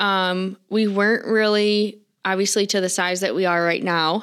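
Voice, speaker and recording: Speaking with fairly even intonation, a woman uses an ordinary speaking voice at medium pitch. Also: very clean recording, silent background. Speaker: farm store manager. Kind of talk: casual interview chat.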